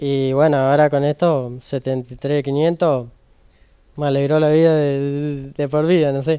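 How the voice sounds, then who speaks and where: Against a quiet background, a man with a fairly high pitch talks at a very slow pace, his dark, mellow tone delivered in a monotone, flat intonation. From Argentina. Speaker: bingo prize winner. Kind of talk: interview. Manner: halting, many fillers. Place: hall. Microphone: handheld.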